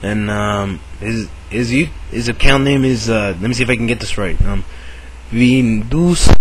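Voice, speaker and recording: Fairly slow speech with noticeable background noise behind it. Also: man. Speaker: YouTuber. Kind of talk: casual vlog. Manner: hesitant, many fillers.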